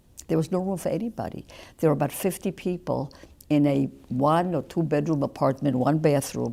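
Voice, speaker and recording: Speaking at a fairly quick pace, a woman uses a very deep, low pitch with ordinary variation, a dark, mellow tone and vocal fry. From Poland. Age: 80s+. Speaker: Holocaust survivor. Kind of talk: testimony. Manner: halting.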